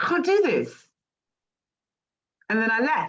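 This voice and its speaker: A woman with an English accent talks at a moderate pace. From England. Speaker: life coach. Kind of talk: casual chat.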